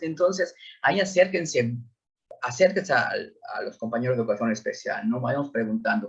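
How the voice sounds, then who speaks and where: Lively intonation in a somewhat breathy male voice. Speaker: school psychologist. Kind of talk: lecture. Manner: hesitant with repetitions.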